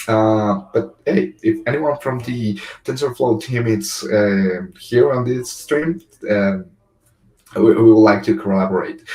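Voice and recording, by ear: A man talks at a fairly slow pace with a fairly low pitch and a slightly mellow tone. His pitch varies in an ordinary way.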